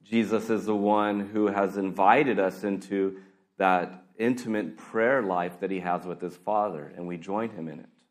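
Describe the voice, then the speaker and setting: Recorded with audible room echo, a man with a fairly low pitch keeps his intonation fairly even while his loudness swings widely. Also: fairly slow pace. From US, California. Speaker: pastor. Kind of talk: sermon. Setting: church.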